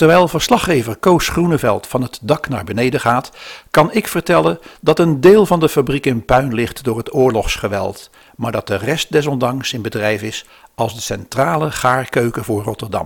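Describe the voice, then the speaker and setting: A man talks in a normal speaking voice, his intonation lively and his pace moderate. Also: medium pitch for a man. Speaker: narrator of the historical podcast. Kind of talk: scripted narration.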